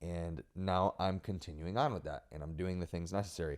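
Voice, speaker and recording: Over a silent background in a very clean recording, a man speaks at a moderate pace. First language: Spanish. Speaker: podcast host. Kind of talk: casual chat.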